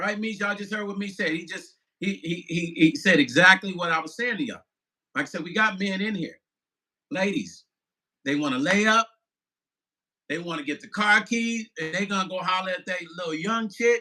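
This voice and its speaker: A man's high-pitched, raised and projected voice with a bright, sharp tone, ordinary pitch variation and long, frequent pauses. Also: fairly quick pace. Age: 50s. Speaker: musician and vlogger. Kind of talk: live stream chat reading viewer comments. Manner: animated.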